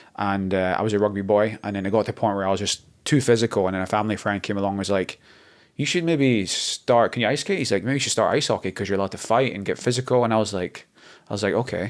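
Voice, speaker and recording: Recorded very cleanly against a silent background, a man with an American accent speaks at a very fast pace with ordinary pitch variation. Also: fairly low pitch for a man. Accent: Scottish with slight North American twang. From Scotland. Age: 30s. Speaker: model and mountain guide, former ice hockey player. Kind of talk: casual chat. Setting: hotel during a photo shoot.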